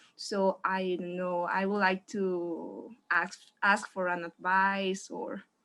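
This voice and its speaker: A woman's very slow, monotone delivery in a Spanish accent, flat in intonation, bright and sharp in tone, medium in pitch. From Mexico. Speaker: audience member asking question. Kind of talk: audience question. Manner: halting.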